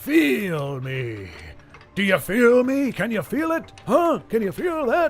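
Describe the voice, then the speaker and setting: A man's put-on character voice, high-pitched with very wide pitch swings, at a fairly slow pace over background music. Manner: taunting.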